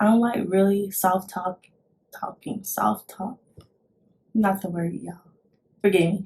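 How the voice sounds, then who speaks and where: Quiet and somewhat breathy, a woman speaks at a medium pitch and a fairly slow pace, with monotone, flat intonation and long, frequent pauses. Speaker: vlogger, army recruit. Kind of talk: casual vlog talk. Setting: at home, son sleeping nearby. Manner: quiet, holding back volume; halting, many fillers and restarts.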